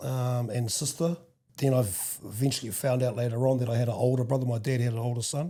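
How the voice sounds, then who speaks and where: In a New Zealand accent, a man with a medium pitch and a dark, mellow, somewhat breathy tone speaks at a fairly quick pace. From New Zealand, Wellington. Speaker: podcast guest sharing life story. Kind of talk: casual interview. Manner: halting.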